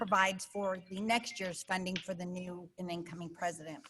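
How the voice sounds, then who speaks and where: A woman talks at a moderate speed while music sounds behind her. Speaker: club president. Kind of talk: club meeting announcements. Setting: video call.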